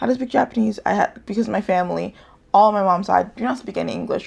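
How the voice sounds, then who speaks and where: Speaking in a medium pitch with an American accent, a woman lets vocal fry creep into her voice. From United States. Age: 20s. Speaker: YouTuber. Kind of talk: casual vlog talk. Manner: halting, many false starts.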